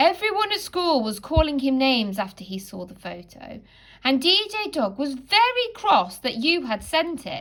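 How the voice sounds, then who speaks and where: A woman's put-on character voice, high in pitch, with very wide pitch swings at a moderate pace. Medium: read story. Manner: gentle, wise.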